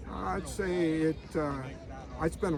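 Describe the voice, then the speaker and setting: A man is speaking. Noticeable background noise and audible room echo come through. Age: 70s. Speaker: van traveler. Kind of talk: interview. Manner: halting.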